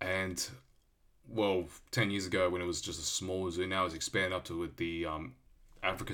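With an Australian accent, a man speaks at a very deep, low pitch. His tone is bright and sharp, and his pace is fairly quick. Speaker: podcast host. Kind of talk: solo podcast monologue. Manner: hesitant, many fillers.

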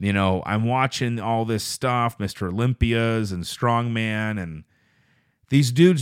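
This man's medium-pitched voice comes at a fairly slow pace, in a very clean recording with a silent background. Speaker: podcast host. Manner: varied up-and-down inflection.

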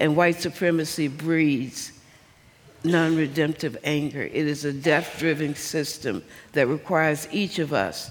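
In a Southern US accent, a woman talks at a fairly slow pace with a very deep, low pitch and ordinary pitch variation. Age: 70s. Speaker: civil rights activist and preacher. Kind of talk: sermon-like speech. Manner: impassioned.

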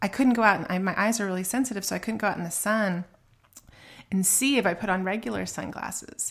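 At a fairly quick pace and medium pitch, a woman speaks in a normal speaking voice. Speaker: podcast co-host. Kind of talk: casual chat. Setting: home recording, remote.

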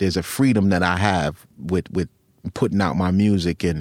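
With an American accent and an unremarkable speaking voice, a man speaks at a moderate pace and fairly low pitch in a dry, close sound with no echo. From US Northeast (Long Island, New York). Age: 50s. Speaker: rapper and producer. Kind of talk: casual interview.

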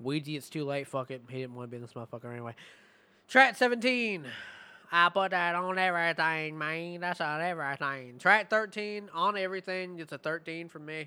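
A man talks with a high pitch and a bright, sharp tone. His loudness swings widely. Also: lively intonation. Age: 20s. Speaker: music podcast host. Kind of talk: album review.

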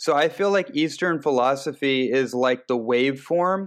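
A man with an unremarkable speaking voice talks at medium pitch. His pitch varies in an ordinary way against a quiet background. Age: 30s. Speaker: nutritionist and transformation coach. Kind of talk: interview.

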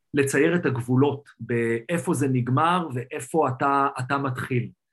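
A man with a fairly high pitch talks in a somewhat breathy voice. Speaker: tech entrepreneur. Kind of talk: interview.

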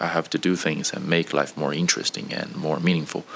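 A man speaks with a very deep, low voice. Noticeable background noise sits behind him. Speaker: engineer, recent graduate. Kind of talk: casual interview. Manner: halting, with fillers.

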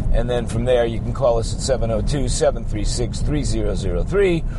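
A man talks in an upbeat, animated tone. Noticeable background noise sits behind him. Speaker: podcaster. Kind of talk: radio dj patter. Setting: in a car. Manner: upbeat, sing-song DJ-style banter, jokey and exaggerated; rambling, sarcastic, animated.

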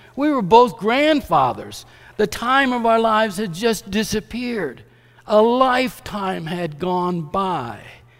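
Very slowly, a man speaks in a high pitch with lively intonation. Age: 70s. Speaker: preacher. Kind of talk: sermon. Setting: church.

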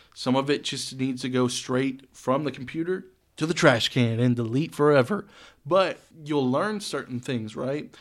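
A man with a normal speaking voice talks at medium pitch and a moderate pace. His pitch varies in an ordinary way, and the recording is very clean with a silent background. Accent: American. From Texas (Saginaw area, north Texas). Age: 20s. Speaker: DJ and producer. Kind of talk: casual chat.

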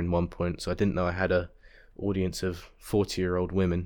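A man with an English accent speaks at a moderate pace in a very deep, low pitch with monotone, flat intonation over a quiet background. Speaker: podcast host. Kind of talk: casual solo monologue. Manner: halting, many fillers.

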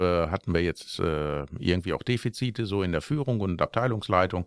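A man's very deep, low voice with ordinary pitch variation, in a very clean recording with a silent background and a dry, close sound with no echo. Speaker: car workshop worker and podcast co-host. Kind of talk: casual chat.

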